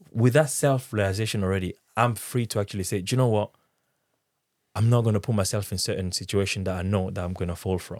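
In a French accent, the speaker talks at a very fast pace with ordinary pitch variation, in a very clean recording over a silent background. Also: man, fairly low pitch for a man. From Democratic Republic of the Congo. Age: 30s. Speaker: interviewee sharing personal story. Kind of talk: casual conversational interview.

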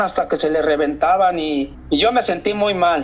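A man speaks in a high voice. Noticeable background noise runs behind him. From Mexico. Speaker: long-distance walker. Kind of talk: interview.

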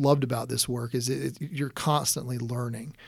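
A man with an American accent talks at a fairly quick pace and a medium pitch with fairly even intonation. The recording is very clean, with a silent background. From South Carolina coast, Horry County. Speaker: newspaper editor. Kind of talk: interview. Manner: halting, many repetitions and fillers.

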